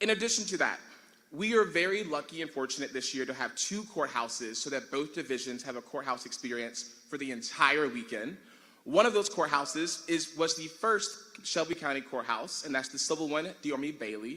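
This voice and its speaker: Loud and at a moderate pace, a man talks with a fairly high pitch and lively intonation. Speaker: tournament director. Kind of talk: logistical announcements at ceremony. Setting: large room with audience.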